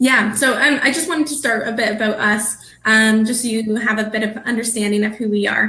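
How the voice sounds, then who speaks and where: Against noticeable background noise, a woman speaks fast-ish at a fairly high pitch with fairly even intonation. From Canada. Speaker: business development manager at a tax services firm. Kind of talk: webinar presentation.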